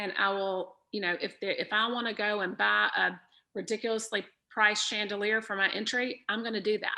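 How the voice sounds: A woman speaks at a moderate pace in a bright, sharp tone with vocal fry and little pitch movement.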